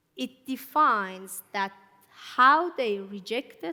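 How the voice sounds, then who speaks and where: A woman's bright, sharp voice with an Iranian accent, lively intonation and a very slow pace. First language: Farsi. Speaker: church speaker. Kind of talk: sermon.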